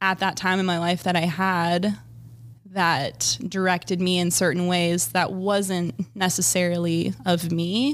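A plain, everyday voice from a woman, fairly low in pitch, very even in loudness, at a fairly slow pace, on a very clean recording with a silent background. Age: 30s. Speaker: dental hygienist. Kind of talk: casual chat.

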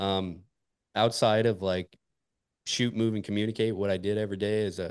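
With an American accent, a man speaks at a fairly quick pace in a fairly low pitch. His intonation is monotone and flat, and the sound is dry and close with no echo. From northern Montana, US. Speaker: military special operations veteran and golf podcast host. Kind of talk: casual interview chat.

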